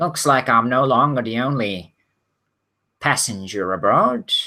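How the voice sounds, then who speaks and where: Doing a put-on character voice, a man sounds nasal at a medium pitch, with lively intonation and a moderate pace. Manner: suspicious.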